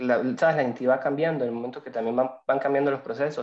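Ordinary rise and fall in a man's mid-range voice. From Venezuela. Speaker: lawyer and migration student. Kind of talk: casual interview. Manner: halting, repeats words.

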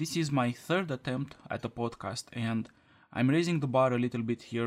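In a Romanian accent, a man speaks at a moderate pace with a medium pitch and ordinary pitch variation. The sound is dry and close, with no echo. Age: 20s. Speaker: podcaster. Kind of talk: scripted monologue.

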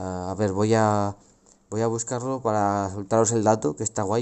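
A man with a fairly low pitch. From Spain, Logroño (La Rioja). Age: 20s. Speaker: podcast host. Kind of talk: casual solo monologue. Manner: hesitant, many fillers.

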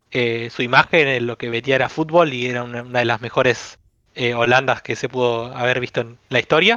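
A man's medium-pitched voice, bright and sharp, at a fairly quick pace, flat and monotone, with a dry, close sound and no echo. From Argentina, Avellaneda (Buenos Aires). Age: 20s. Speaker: football fan club member. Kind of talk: casual chat.

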